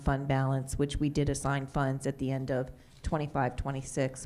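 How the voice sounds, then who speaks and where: A woman's very deep, low voice with a dark, mellow tone at a fairly quick pace. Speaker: school district finance official. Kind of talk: formal public meeting. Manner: stumbling over words.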